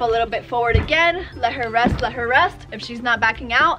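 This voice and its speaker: Against noticeable background noise, a woman talks fairly quickly in a high voice. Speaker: horse trainer host. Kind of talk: tutorial. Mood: cheerful, laughing. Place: farm machine.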